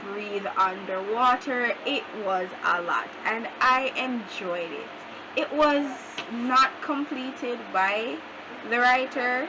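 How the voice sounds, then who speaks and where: Over noticeable background noise, a woman talks very slowly at a fairly high pitch with ordinary pitch variation. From Jamaica. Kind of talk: casual talk to camera.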